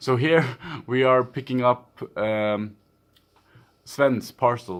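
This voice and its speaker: With ordinary pitch variation, a man talks in a very clean recording against a silent background. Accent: Swedish. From Sweden. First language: Swedish. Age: young. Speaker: gaming youtuber. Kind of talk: let's play commentary. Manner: casual, hesitant with fillers.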